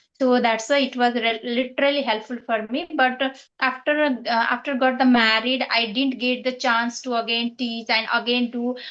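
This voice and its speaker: A woman speaks at a moderate pace with hardly any pauses. Her high pitch stays monotone and flat. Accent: Nepali. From Nepal. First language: Nepali. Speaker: English learner, former teacher. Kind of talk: casual conversation practice. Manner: halting, with many fillers.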